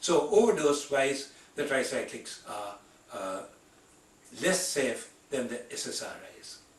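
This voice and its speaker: A man speaks fairly slowly at a fairly high pitch, with very wide pitch swings and big swings in loudness. Long, frequent pauses break up his speech, and there is noticeable background noise. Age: 80s+. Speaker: physician, internal medicine specialist. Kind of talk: medical lecture / patient education talk.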